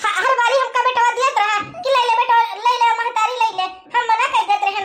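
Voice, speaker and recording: In a cartoonish character voice, a woman speaks at an extremely high pitch and a fairly quick pace. Her intonation stays fairly even. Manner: plaintive, sighing.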